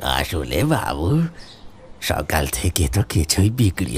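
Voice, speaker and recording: A man in a put-on character voice, very slow in pace with lively intonation. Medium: audio drama. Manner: hesitant, soft, polite.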